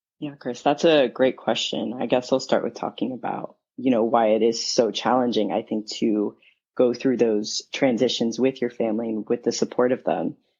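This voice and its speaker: A man with an American accent and a normal speaking voice, medium pitch, fairly even intonation and a moderate pace. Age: 20s. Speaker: guest, son of other guest. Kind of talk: interview.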